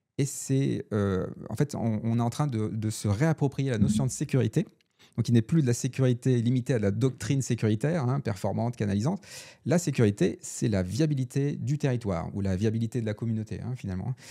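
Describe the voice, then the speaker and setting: On a very clean recording with a silent background, a man with a dark, mellow tone speaks fairly quickly at medium pitch, with ordinary pitch variation. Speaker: researcher and author on robustness. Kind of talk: interview conversation. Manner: fast; hesitant, repeats words.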